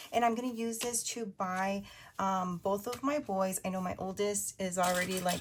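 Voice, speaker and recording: Intonation stays fairly even, and the delivery is somewhat breathy. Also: woman, medium pitch for a woman, moderate pace. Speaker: budgeting video creator. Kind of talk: casual chat. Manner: chatty, filler-heavy; whispering.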